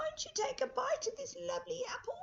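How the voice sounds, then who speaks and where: A squeaky, put-on character voice at a fairly quick pace. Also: female-sounding voice. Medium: read story.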